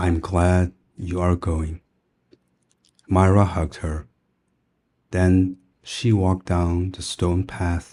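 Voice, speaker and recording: A man with a non-native accent speaks very slowly in a very deep, low pitch and a dark, mellow tone. His intonation is monotone and flat, broken by long, frequent pauses. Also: very clean recording, silent background. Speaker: storyteller. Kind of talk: bedtime story reading for English learners. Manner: slow, soft-spoken.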